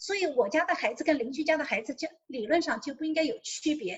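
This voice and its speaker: Lively intonation in a high-pitched female voice. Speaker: single mother sharing parenting advice. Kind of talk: interview.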